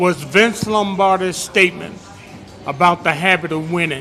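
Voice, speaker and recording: A man with an American accent uses a raised, projected voice at a high pitch with ordinary pitch variation. There is noticeable background noise. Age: 80s+. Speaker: audience member at community panel. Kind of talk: public comment at a community forum. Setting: bistro with live audience.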